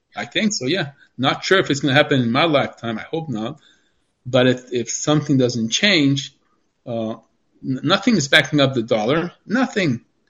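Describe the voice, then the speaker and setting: Pitched fairly high, a man speaks at a moderate pace with lively intonation. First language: Spanish. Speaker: doctor sharing life experience. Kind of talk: interview.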